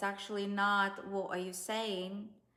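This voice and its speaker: The woman's medium-pitched voice moves at a very slow pace, with audible room echo around it. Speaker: dating and relationship coach. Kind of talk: online course tutorial.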